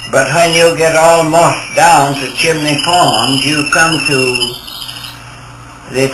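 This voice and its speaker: A man with an American accent at a very slow pace, amid noticeable background noise. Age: 80s+. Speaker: professional photographer and guide. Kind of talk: storytelling reminiscence.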